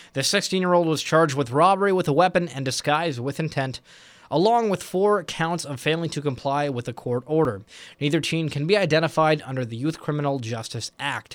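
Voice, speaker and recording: At a fairly quick pace, a man with an unremarkable speaking voice talks at a fairly high pitch with ordinary variation. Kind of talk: news reading. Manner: formal, brisk, even-paced delivery.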